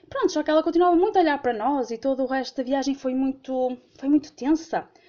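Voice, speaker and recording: A woman talks at a fairly quick pace with a northern Portuguese accent. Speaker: listener sharing a story. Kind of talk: voice message storytelling. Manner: halting.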